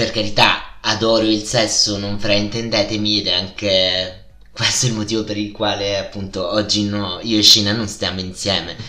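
Amid noticeable background noise and audible room echo, a man with a strong Italian accent and fairly low pitch speaks at a moderate pace. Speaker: podcast host. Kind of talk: casual podcast monologue. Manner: animated.

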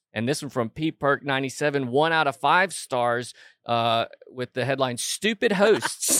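A man speaks at a very slow pace with a fairly high pitch and lively intonation. The sound is dry and close, with no echo. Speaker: podcast co-host. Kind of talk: comedic casual chat.

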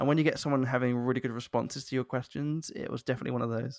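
The speaker talks at a very fast pace with a Southern English accent. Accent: southern English, sounds posh. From London, England. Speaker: podcast host. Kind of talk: casual interview chat.

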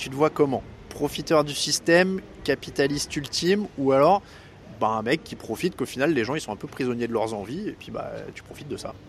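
With noticeable background noise, a man talks at a fairly quick pace in a fairly high voice, with lively intonation and big swings in loudness. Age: 30s. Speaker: podcast host. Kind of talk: casual interview.

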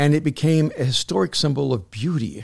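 A man speaks in a fairly high pitch with ordinary pitch variation. The recording is very clean, with a silent background. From El Salvador, raised in US. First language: Spanish. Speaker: pastor and author. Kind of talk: casual chat.

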